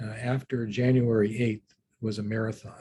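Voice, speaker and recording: A man speaks at medium pitch with a dark, mellow tone and a somewhat breathy quality. The sound is dry and close, with no echo. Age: 60s. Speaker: law professor and litigator. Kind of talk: interview on a panel. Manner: halting, many fillers.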